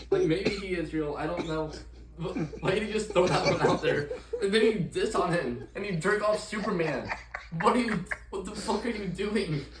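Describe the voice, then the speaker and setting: Amid noticeable background noise and audible room echo, a high-pitched man speaks at a moderate pace with ordinary pitch variation. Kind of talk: casual chat.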